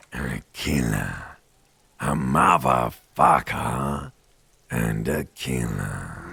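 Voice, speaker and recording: In a put-on character voice, a man sounds raspy and very deep and low in pitch, speaking at a very slow pace with ordinary pitch variation and long, frequent pauses. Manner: primal, aggressive.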